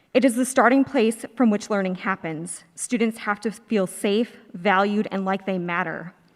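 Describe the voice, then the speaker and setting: A woman with an American accent has a plain, everyday voice at a medium pitch. She talks fairly quickly with fairly even intonation. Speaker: alumna and public commenter. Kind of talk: public comment, prepared statement. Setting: school auditorium board meeting.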